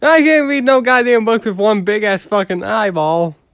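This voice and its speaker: A man puts on a whiny character voice, pitched high with a whiny tone. He talks at a moderate pace with lively intonation. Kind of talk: comic overacting. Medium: read story. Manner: panicky, whiny, profane comic overacting.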